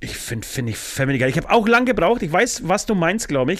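His pitch high, a man speaks with very wide pitch swings. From Poland. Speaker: rock musician. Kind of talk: casual chat.

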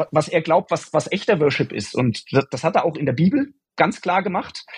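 The man's pitch is high. He speaks at a fairly slow pace. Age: 40s. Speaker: software developer, guest. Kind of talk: casual faith conversation.

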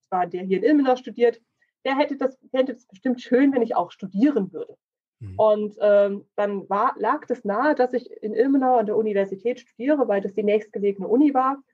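Speaking at a moderate pace, a woman with an unremarkable speaking voice and fairly high pitch uses lively intonation. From Thuringia, Germany (Thuringian Forest). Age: 30s. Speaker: insurance and finance broker. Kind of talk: casual interview chat.

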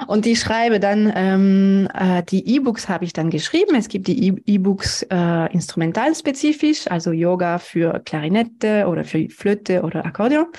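Lively intonation from a woman with a dark, mellow tone and medium pitch, moderate in pace against a quiet background. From France. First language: French (speaking German). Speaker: music teacher and yoga teacher. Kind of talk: interview. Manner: halting.

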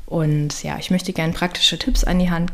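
A woman with a fairly low pitch talks as noticeable background noise is heard. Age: 30s. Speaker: health coach and podcast host. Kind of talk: solo podcast monologue. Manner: casual, chatty.

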